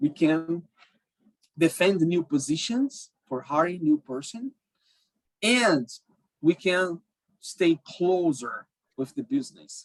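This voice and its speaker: A man's high-pitched voice with a Portuguese accent and lively intonation, dry and close with no echo. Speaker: cybersecurity professional. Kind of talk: talk to a group. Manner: halting, many fillers.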